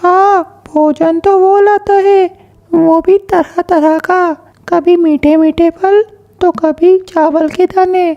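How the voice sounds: A woman puts on a cartoonish character voice at an extremely high pitch. She speaks very slowly, with fairly even intonation and very even loudness.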